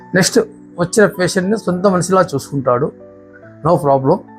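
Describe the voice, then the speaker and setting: A man's speech shows ordinary pitch variation. Behind him, music plays. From Andhra Pradesh, India. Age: 60s. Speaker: knee surgery patient. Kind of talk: patient testimonial.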